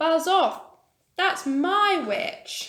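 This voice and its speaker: In a put-on character voice, a woman growls in an extremely high, shrill, croaky pitch. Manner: threatening, aggressive.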